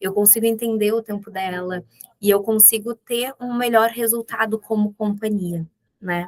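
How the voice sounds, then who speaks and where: In a southern Brazilian accent, a woman talks at a medium pitch in a flat monotone, the sound dry and close with no echo. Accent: gaúcho accent, noticeable. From Rio Grande do Sul, southern Brazil. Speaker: business executive. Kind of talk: podcast interview. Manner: direct.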